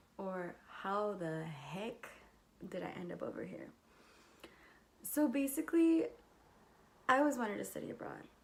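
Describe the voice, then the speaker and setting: Speaking in a Californian accent at a medium pitch and moderate pace, a woman shows very wide pitch swings, big swings in loudness, and long, frequent pauses. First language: Spanish. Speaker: university student. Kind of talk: casual talk to camera.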